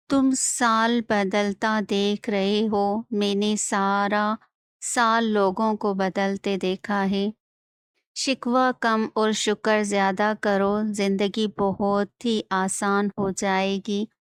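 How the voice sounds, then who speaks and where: Monotone, flat delivery at very even loudness, dry and close with no echo, on a very clean recording with a silent background. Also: woman, medium pitch for a woman. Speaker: voice-over artist. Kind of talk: motivational quotes narration.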